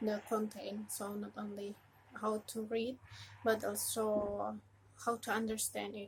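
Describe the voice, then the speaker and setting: Over noticeable background noise, a woman speaks at a very slow pace with an Indonesian accent. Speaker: religious educator. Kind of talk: casual tutorial. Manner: halting.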